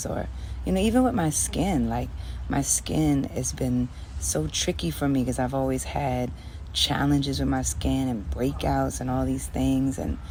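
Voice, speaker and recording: Soft-spoken and calm, gentle in tone, a woman with a very deep, low pitch talks at a moderate pace with fairly even intonation over noticeable background noise. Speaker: singer and pianist, musician. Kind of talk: casual talk to camera, reflective personal monologue. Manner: soft-spoken, calm, gentle.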